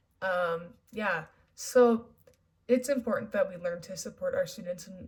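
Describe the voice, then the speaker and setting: Somewhat breathy and moderately paced, the voice carries lively intonation. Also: woman. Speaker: university education student. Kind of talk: class project presentation. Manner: halting.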